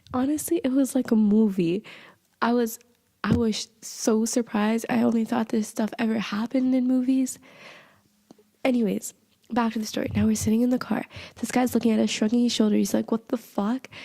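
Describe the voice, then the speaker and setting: Fairly quick, fairly even speech from a woman with a fairly high, dark, mellow voice at very even loudness. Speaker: podcast host. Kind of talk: casual storytelling podcast.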